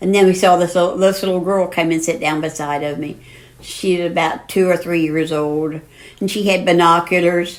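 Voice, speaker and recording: Noticeable background noise sits behind a woman's fairly low voice. Her delivery is moderately paced, with monotone, flat intonation. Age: 80s+. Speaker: grandmother on national parks road trip. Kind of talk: podcast interview, storytelling.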